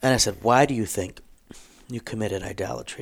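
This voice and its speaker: A man talks at a very fast pace in a medium pitch. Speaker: Lutheran pastor and podcast co-host. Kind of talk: casual chat. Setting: studio. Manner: hesitant, many fillers.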